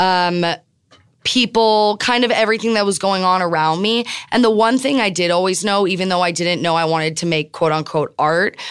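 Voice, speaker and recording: An ordinary speaking voice from a woman with an American accent, fairly low in pitch with ordinary pitch variation, at a moderate pace on a very clean recording with a silent background. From Miami, Florida, US. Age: young. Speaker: photographer and artist. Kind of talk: interview conversation. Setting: studio.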